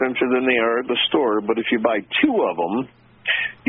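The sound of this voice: Reading done in an unforced voice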